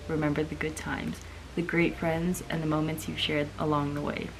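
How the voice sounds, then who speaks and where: Soft-spoken, a woman talks at a fairly quick pace with a very deep, low pitch. Background noise is noticeable. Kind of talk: reading aloud from a book.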